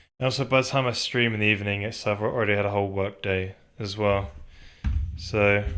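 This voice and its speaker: A man mumbles at a fairly quick pace, his pitch fairly low with ordinary variation. The recording is very clean and the background silent. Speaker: game developer streamer. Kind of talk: live coding stream. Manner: mumbling. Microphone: slight echo in room.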